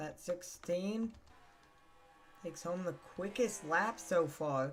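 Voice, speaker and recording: A very slow pace over music in the background. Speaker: sim racing commentator. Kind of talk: live commentary. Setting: live stream. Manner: soft-spoken.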